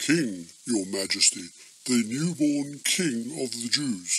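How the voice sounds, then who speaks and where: A man puts on a cartoonish character voice at medium pitch. He speaks at a fairly slow pace. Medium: puppet. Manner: formal, polite.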